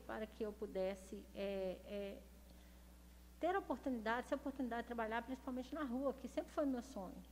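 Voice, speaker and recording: A woman with a normal speaking voice and fairly high pitch talks with ordinary pitch variation. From Minas Gerais, Brazil (Belo Horizonte). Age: 40s. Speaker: city councillor and former police officer. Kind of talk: interview. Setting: studio, streamed live.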